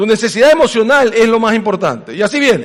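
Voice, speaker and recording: Pitched high for a man, he talks at a fairly quick pace with ordinary pitch variation. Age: 60s. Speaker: pastor. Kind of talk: sermon.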